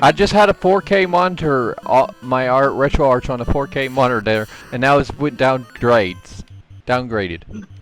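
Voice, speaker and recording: Over background music, a man with a Southern accent speaks at a medium pitch and a moderate pace, with very wide pitch swings. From Texas. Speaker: gamer streamer. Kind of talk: casual chat.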